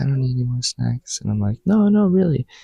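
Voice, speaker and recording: A man speaks in a soft-spoken, somewhat breathy voice at a medium pitch. The sound is dry and close, with no echo. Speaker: student vlogger. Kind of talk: casual vlog monologue. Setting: study hall. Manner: casual with many fillers. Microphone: new microphone.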